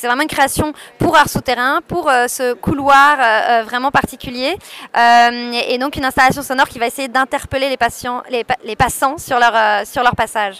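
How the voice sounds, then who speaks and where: A woman with a high pitch and a bright, sharp tone talks at a moderate pace. Her intonation is fairly even, and the sound is dry and close with no echo. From France, Paris. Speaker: art curator. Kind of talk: radio interview.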